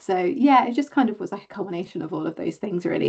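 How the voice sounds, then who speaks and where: A woman's dark, mellow voice with vocal fry, in a southern English accent, with ordinary pitch variation and a quiet background. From southern England. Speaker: fantasy author. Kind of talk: interview.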